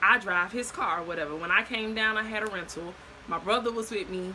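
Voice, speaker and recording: A woman with an American accent speaks at a medium pitch with ordinary pitch variation. There is noticeable background noise. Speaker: storyteller vlogger. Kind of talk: casual storytime monologue. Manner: fast.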